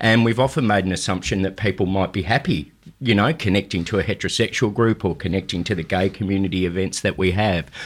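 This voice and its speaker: A man with an Australian accent, a fairly low pitch and ordinary pitch variation, talking at a very fast pace with hardly any pauses on a very clean recording with a silent background. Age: 50s. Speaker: CEO of a health charity. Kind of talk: radio interview.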